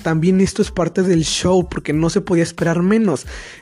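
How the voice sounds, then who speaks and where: A fairly quick man with a high pitch. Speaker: student podcaster. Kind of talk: casual chat. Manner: halting.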